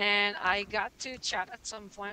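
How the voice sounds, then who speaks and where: A woman speaks with a French-Canadian accent at a very slow pace. Her voice is medium in pitch with a bright, sharp tone. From Quebec, Canada. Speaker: musician. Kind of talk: casual interview.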